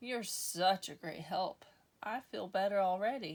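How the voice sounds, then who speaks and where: Using a put-on character voice, a woman talks at a medium pitch and a moderate pace. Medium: read story.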